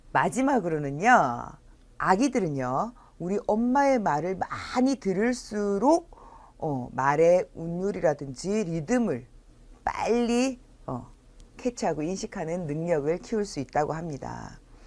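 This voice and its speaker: A woman talks at a very slow pace and a medium pitch. Her pitch swings very widely. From South Korea, Busan. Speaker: early childhood educator / lecturer. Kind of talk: lecture. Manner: frequent filler pauses.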